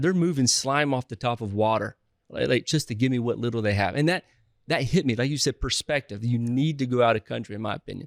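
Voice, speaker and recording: Ordinary pitch variation in a Southern US accent, on a very clean recording with a silent background. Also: man. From US South. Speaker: real estate investor. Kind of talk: podcast interview. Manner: halting, frequent restarts.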